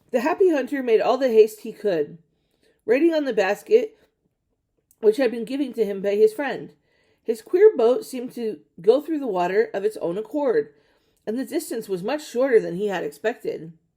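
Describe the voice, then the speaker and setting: A woman's raspy, put-on character voice, fairly high in pitch, with very wide pitch swings, big shifts in loudness and a moderate pace. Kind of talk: fairy tale reading. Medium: read story. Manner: steady, occasionally stumbling.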